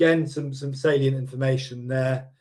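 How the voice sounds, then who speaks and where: Somewhat breathy and fairly quick, a man speaks at a medium pitch with monotone, flat intonation. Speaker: property investment company director presenting webinar. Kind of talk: webinar presentation. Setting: online webinar. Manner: fast; hesitant, many fillers.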